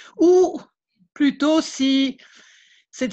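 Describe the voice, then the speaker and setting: With lively intonation, a woman speaks against a quiet background. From Belgium, Liège. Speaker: beekeeper, contest winner. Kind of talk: thank-you speech at online event.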